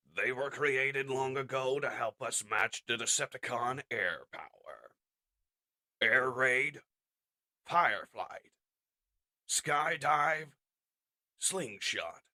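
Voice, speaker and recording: A man drags out a put-on character voice very slowly at medium pitch, stopping often for long pauses. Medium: audio drama. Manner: solemn, measured, gentle.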